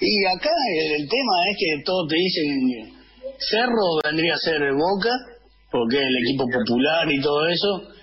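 Lively intonation from a man at a fairly slow pace, with noticeable background noise. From Argentina, Alta Gracia, Córdoba. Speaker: football supporters' club leader. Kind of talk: casual radio interview. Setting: remote call via Zoom.

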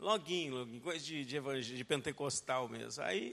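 Here a man speaks at a moderate pace in a bright, sharp tone with ordinary pitch variation. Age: 40s. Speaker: pastor. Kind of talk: sermon. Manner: animated.

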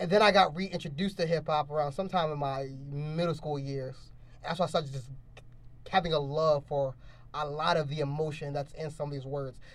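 A somewhat breathy man talks at a fairly quick pace, pitched fairly high, with fairly even intonation. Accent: American. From Baltimore, later central Pennsylvania. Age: young. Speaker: podcast host. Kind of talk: casual chat.

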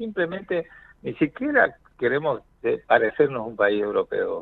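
A man's voice with very wide swings in pitch. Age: 50s. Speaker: cardiologist. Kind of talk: radio interview.

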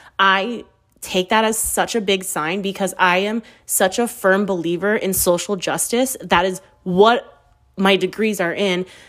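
In an American accent, a woman at medium pitch speaks in an animated tone. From US West Coast. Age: 30s. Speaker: podcast host. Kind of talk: casual monologue.

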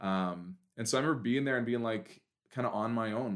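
With a Western Canadian accent, a man talks at a medium pitch and a fairly quick pace. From Canada, Prince George, British Columbia. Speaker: event planner and camp director. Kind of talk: casual interview chat.

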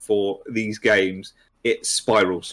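A man is speaking. He has a British accent. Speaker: hobby social media manager and YouTuber. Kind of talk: casual chat. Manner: low energy, sedate.

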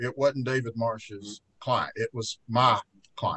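A man with an Alabama accent speaks at a fairly slow pace, his medium pitch showing ordinary variation. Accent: Southern US (Alabama). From US South, rural Fayette County, Alabama. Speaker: trial lawyer. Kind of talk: casual interview chat. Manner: frequent filler words (uh).

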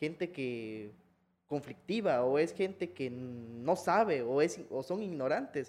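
A dark, mellow tone with lively intonation comes through against a quiet background. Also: man. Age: 20s. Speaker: historian. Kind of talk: casual conversational interview. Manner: hesitant, repeats words.

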